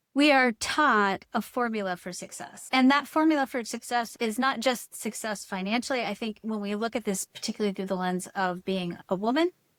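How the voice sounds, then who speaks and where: A woman with an unremarkable speaking voice, fairly high in pitch, with ordinary pitch variation, at a fairly quick pace with hardly any pauses, in a very clean recording with a silent background and a dry, close sound with no echo. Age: 60s. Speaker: human design teacher and author. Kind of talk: podcast interview.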